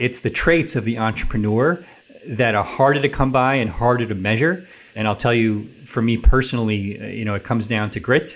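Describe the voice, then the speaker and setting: In a normal speaking voice, a man talks at a fairly quick pace and a medium pitch with ordinary pitch variation, on a very clean recording with a silent background. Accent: American. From New York City area. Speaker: tech company founder and CEO. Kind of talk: radio interview. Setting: radio studio.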